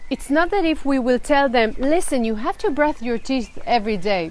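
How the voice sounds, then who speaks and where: In an Israeli accent, a woman speaks with a high pitch. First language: Hebrew. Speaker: children's storyteller. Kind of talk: live stream talk to parents.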